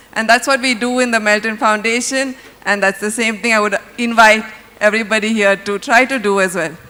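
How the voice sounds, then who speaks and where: Over noticeable background noise, a woman talks at a fairly quick pace. Her pitch is fairly high and her intonation fairly even. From India, Bangalore. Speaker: jury member, foundation program director. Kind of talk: stage speech.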